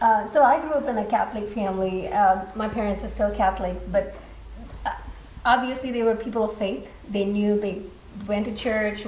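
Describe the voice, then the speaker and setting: Noticeable background noise sits behind this recording. A woman at medium pitch speaks at a fairly quick pace. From India. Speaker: church member. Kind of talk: panel discussion. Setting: stage with live audience.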